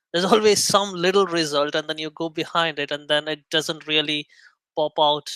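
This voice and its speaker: A man with a non-native accent speaks at a fairly quick pace in a fairly high pitch with a bright, sharp tone, on a very clean recording with a silent background. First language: not English. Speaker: indie app developer. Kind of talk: casual chat. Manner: halting.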